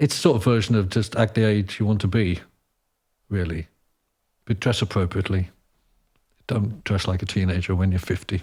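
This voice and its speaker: A man speaks at a fairly quick pace, but with long, frequent pauses, in a fairly low, somewhat breathy voice with fairly even intonation. The recording is very clean, with a silent background. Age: 60s. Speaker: conductor, composer and opera singer. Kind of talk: casual chat.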